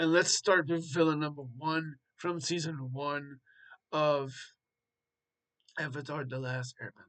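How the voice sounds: This man's voice sits at a fairly high pitch. The tone is fairly bright.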